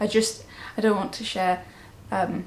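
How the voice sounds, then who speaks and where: A speaker in a southern English accent talks at a moderate pace, with audible room echo and noticeable background noise. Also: woman. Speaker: knitting podcaster. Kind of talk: casual vlog chat.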